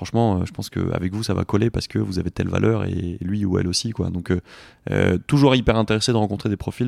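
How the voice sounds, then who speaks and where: In a very clean recording with a silent background, a man speaks at a fairly quick pace with a fairly low pitch. The sound is dry and close with no echo, and his intonation is fairly even. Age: 30s. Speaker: sports inclusion entrepreneur. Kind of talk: interview. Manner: halting.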